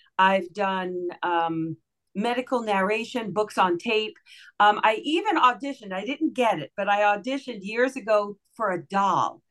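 Speaking at a moderate pace, this is a plain, everyday voice with ordinary pitch variation. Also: woman, medium pitch for a woman. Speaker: voice-over artist and radio host. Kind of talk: casual interview chat. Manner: warm, friendly, conversational.

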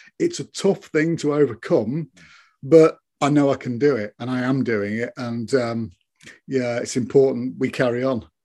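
A man talks in a dark, mellow tone at medium pitch, with ordinary pitch variation. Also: quiet background. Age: 50s. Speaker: security business manager, stroke survivor. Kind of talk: interview. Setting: video call.

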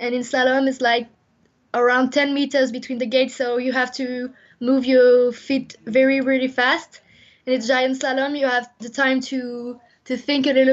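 A woman talks at a high pitch with a French accent. Her intonation stays monotone and flat. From France. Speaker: Olympic skier. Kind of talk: interview. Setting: phone call. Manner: halting.

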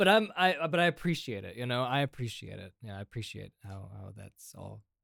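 An unremarkable speaking voice from a man, fairly low in pitch, with lively intonation, big swings in loudness, a moderate pace, and a dry, close sound with no echo. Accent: American. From Indiana, US. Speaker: guest illustrator and movie fan. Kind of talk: casual chat.

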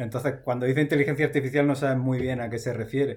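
A man speaks in a somewhat breathy voice. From Almería, Andalusia, Spain. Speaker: software developer. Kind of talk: casual interview.

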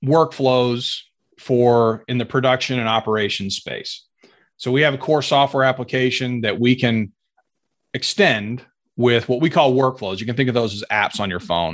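A normal speaking voice with an American accent moves at a moderate pace. The background is quiet. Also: man. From US, Air Force family moving around; Arkansas roots. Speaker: sales executive in oil and gas software. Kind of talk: casual interview chat. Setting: video call.

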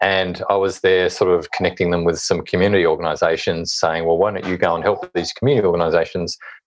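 Very fast speech with hardly any pauses, in an Australian accent. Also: man. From Hobart, Tasmania, Australia. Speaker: author and social impact consultant. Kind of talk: interview.

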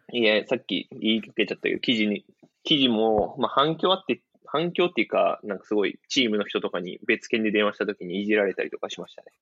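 Very rapid speech from a man, its loudness rising and falling sharply. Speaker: former footballer. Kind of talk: casual interview chat. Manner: frequent laughter.

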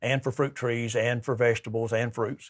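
Speaking at a fairly quick pace, a man with an Alabama accent uses a medium pitch. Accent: Southern US (Alabama). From US South, southern Alabama. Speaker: sales rep for garden products. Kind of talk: casual interview on gardening.

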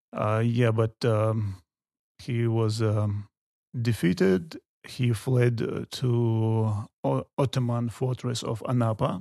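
Dry and close with no echo, a man's dark, mellow voice moves at a very slow pace, medium in pitch with ordinary variation. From Chechnya, North Caucasus. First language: Chechen. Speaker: tour guide. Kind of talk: interview. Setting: studio. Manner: halting, many fillers.

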